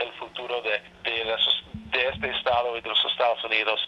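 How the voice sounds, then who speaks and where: Noticeable background noise is present in the recording. A man talks fairly slowly over it. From Alaska. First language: English (speaking Spanish). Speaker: state senator. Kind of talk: interview. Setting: phone call. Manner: halting.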